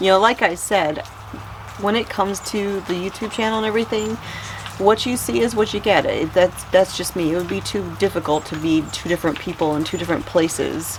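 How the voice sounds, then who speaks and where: A woman at a medium pitch with ordinary pitch variation, talking at a fairly quick pace amid noticeable background noise. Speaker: homesteading vlogger. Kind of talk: casual chat. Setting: greenhouse during a storm. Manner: calm and even-keeled.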